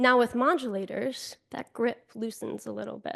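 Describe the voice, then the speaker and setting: A woman with an American accent talks in an unremarkable speaking voice, fairly high in pitch with ordinary pitch variation. The background is quiet. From US Northeast, Buffalo, New York. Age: 30s. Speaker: keynote speaker. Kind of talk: inspirational speech.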